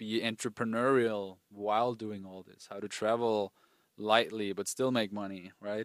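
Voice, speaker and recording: This man speaks in a German accent at a fairly low pitch, with monotone, flat intonation. The recording is very clean, with a silent background. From rural Austria. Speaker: dating coach. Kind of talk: casual interview. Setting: outdoors at a villa in Turkey.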